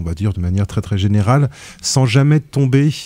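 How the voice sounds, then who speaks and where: The speaker has a Breton accent, a moderate pace, and ordinary pitch variation. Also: man. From Brittany, France. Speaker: film critic on a podcast panel. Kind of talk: casual panel discussion. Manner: halting, many fillers and restarts.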